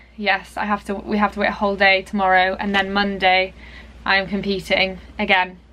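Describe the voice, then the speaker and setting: With an English accent, a woman speaks at a medium pitch. Her tone is bright and sharp. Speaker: dressage rider and vlogger. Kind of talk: casual vlog talk. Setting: at a showground. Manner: quiet.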